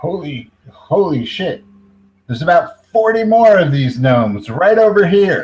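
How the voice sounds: A man puts on a gruff character voice, pitched high, with very wide pitch swings. He talks at a moderate pace.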